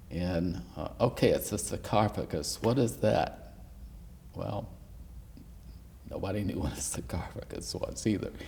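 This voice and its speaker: Over noticeable background noise, a man with a very deep, low pitch talks at a fairly slow pace, swinging his pitch very widely and taking long, frequent pauses. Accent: American. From US South. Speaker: history professor. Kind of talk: oral history interview. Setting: university room.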